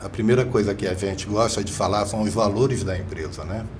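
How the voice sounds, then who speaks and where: A man's fairly low voice at a fairly quick pace, fairly even in intonation, with audible room echo and noticeable background noise. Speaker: business executive. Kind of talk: podcast interview.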